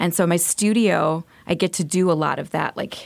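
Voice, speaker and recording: An ordinary speaking voice from a woman, fairly low in pitch, with an American accent and ordinary pitch variation. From US South, Montgomery, Alabama. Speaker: visual artist. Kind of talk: radio interview. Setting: radio studio.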